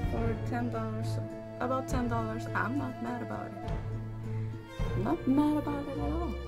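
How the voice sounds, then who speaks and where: The speech has long, frequent pauses. Loud music plays in the background. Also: woman, moderate pace. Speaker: vlogger. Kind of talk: casual talk to camera. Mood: happy, pleased. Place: home room. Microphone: phone near.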